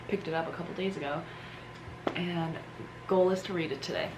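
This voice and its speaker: A woman talks at a fairly low pitch. Noticeable background noise and audible room echo come through. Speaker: lifestyle vlogger. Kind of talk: casual vlog talk. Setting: at home. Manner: whispering; animated.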